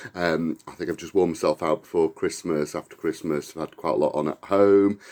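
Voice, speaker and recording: Speaking fairly quickly, a man is heard. He has an English accent. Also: very clean recording, silent background. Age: 50s. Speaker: vlogger. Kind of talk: casual vlog talk. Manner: hesitant, many fillers.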